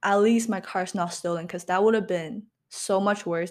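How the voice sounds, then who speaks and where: A woman has an unremarkable speaking voice at a medium pitch. The recording is very clean with a silent background. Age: 20s. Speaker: podcast host, university student. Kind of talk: casual solo talk. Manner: casual, filler-heavy.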